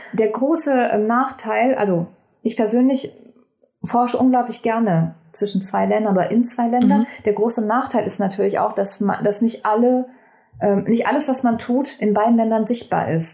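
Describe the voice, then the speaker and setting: A woman speaks at a moderate pace in a fairly high voice with a dark, mellow tone, somewhat breathy, with ordinary pitch variation and very even loudness. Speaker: communication science researcher, PhD. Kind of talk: casual interview. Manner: hesitant, many fillers.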